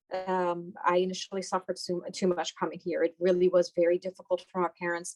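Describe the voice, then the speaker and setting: A woman with a Persian accent speaks at a moderate pace in a dry, close recording with no echo. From Iran, then Houston, Texas from age ten. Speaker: doctor. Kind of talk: interview.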